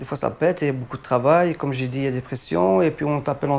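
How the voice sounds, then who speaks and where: This man's voice sits at a fairly high pitch. He talks at a very fast pace. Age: 30s. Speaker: hospital night cleaner. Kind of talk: interview testimony. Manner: halting.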